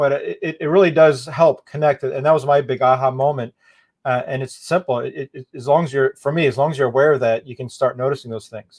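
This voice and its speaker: Fairly quick and fairly even in intonation, a man's somewhat breathy, fairly high-pitched voice shows big swings in loudness in a dry, close sound with no echo. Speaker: event host. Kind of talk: interview. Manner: fast.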